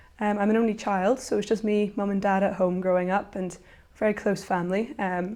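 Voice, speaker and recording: The tone is dark and mellow, with flat, monotone intonation. The speech comes at a fairly quick pace in a Northern Irish accent. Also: woman. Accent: Northern Irish (Belfast). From Northern Ireland, Belfast. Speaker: university student. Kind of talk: interview testimony. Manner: hesitant, with fillers.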